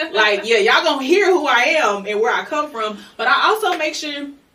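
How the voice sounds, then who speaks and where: A woman's lively intonation at a moderate pace, with audible room echo. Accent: American. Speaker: podcast co-host; higher education worker. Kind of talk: casual podcast chat. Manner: animated.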